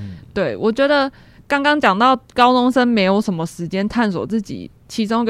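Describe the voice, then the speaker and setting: An ordinary speaking voice talks at a moderate pace with ordinary pitch variation over a quiet background. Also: woman. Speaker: university major selection advisor. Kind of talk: casual chat.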